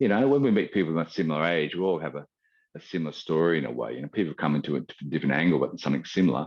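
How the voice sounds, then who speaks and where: A man talks at a very fast pace with a very deep, low pitch. His intonation is lively and his voice shows vocal fry. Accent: Australian. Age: 60s. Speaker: qigong teacher. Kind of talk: interview. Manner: halting.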